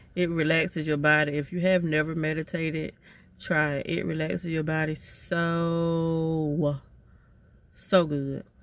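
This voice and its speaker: A woman talks with a very deep, low pitch at a fairly slow pace, her monotone, flat intonation captured in a dry sound with no echo. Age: 40s. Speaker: vlogger. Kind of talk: casual monologue. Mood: earnest, reflective, apologetic. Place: car. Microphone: phone near.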